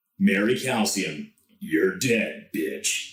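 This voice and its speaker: A man's put-on character voice at a medium pitch, with slight echo. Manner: cool, menacing.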